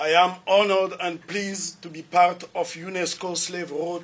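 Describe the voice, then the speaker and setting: A man with a Central African French accent, high pitch and fairly even intonation. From Republic of the Congo. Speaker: lecturer. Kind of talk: lecture. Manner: formal.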